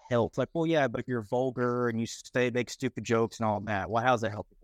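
With a Texan accent, a man talks at a medium pitch, the sound dry and close with no echo over a quiet background. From Texas. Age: 20s. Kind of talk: casual interview.

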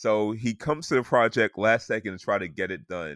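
An ordinary speaking voice from a man with an American accent, fairly low in pitch, moderate in pace with ordinary pitch variation, in a dry, close sound with no echo and a very clean recording with a silent background. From US South. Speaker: sports podcast host. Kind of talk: casual chat.

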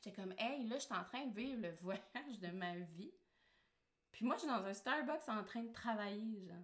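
A woman speaks in a plain, everyday voice, pitched fairly high. Her pace is moderate and her intonation lively. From Quebec. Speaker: marketing strategist and online entrepreneur. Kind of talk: casual interview chat.

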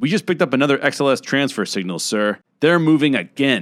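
A man's put-on character voice at medium pitch, with very wide pitch swings and a fairly quick pace, in a very clean recording with a silent background. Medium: read story. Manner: terse, deferential.

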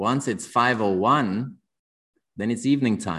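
A man's medium-pitched, bright and sharp voice in a Danish accent, fairly slow, with ordinary pitch variation. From Denmark. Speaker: watch brand founder, former dancer. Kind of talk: casual interview chat.

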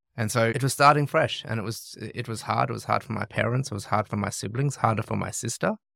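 A man with vocal fry and a bright, sharp tone talks at a very fast pace, with fairly even intonation and hardly any pauses. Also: medium pitch for a man. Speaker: charity chief executive. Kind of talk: interview.

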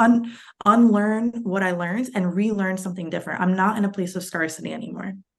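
The delivery comes at a very fast pace with fairly even intonation. Audible room echo hangs around the voice. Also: woman, medium pitch for a woman. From New York City, Lower East Side. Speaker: financial therapist. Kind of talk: casual interview.

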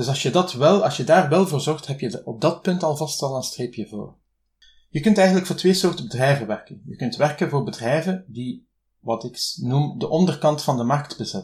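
A somewhat breathy voice in a Flemish accent, on a very clean recording with a silent background. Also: man, fairly high pitch for a man, lively intonation, moderate pace. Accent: Flemish Dutch. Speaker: freelance translator. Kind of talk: interview.

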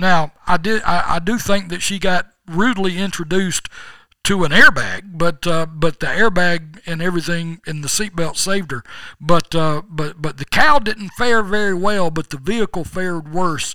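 A man with a Southern US accent talks at a moderate pace in a bright, sharp tone, his pitch high with ordinary variation. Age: 60s. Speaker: podcast host. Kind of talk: casual chat.

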